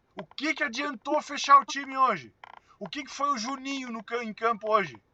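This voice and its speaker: A man's raised, projected voice at an extremely high pitch, with ordinary pitch variation, big swings in loudness, an animated tone and a moderate pace, in a dry, close sound with no echo. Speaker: football commentator. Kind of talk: post-match commentary. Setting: in a car. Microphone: poor audio capture.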